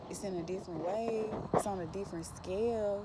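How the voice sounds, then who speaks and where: Heard with audible room echo, a woman speaks in a medium pitch with fairly even intonation. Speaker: spiritual vlogger. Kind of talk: casual monologue.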